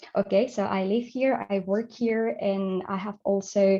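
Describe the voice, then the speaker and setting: A woman with a Spanish accent, medium pitch and fairly even intonation over a quiet background. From Spain. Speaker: audiovisual translator. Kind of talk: conference presentation. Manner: halting, many fillers.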